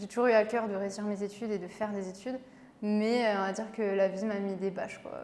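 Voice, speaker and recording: Over noticeable background noise, a woman with a medium pitch talks at a very fast pace in a monotone, flat intonation. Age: 20s. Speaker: beauty pageant winner and pharmacist. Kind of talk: interview.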